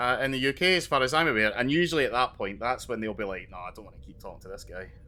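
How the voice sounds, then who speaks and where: Very fast speech from a man with a Scottish accent, medium in pitch, bright and sharp in tone, with ordinary pitch variation. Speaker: podcast co-host. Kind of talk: casual chat.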